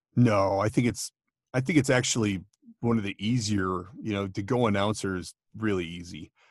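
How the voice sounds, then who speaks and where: A man with an American accent uses an ordinary speaking voice at a fairly low pitch. He keeps a moderate pace and ordinary pitch variation against a quiet background. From Minnesota. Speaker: voiceover artist and podcaster. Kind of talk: casual chat.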